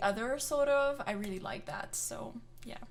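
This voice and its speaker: A woman speaks in a Quebec accent with fairly even intonation. There is audible room echo. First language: French. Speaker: vocal coach and singer reacting to music. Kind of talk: reaction video commentary. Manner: hesitant, many fillers.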